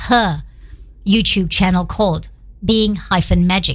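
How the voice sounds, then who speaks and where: A woman speaks at a moderate pace with vocal fry. Her intonation stays fairly even. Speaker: radio host. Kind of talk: radio interview. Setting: radio studio. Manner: loud.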